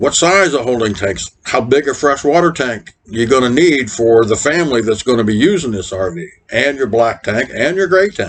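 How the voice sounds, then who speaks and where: Music plays in the background as a man speaks at a moderate pace. His medium-pitched voice makes very wide pitch swings. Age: 60s. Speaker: RV vlogger. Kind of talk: casual advice talk. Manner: conversational, folksy.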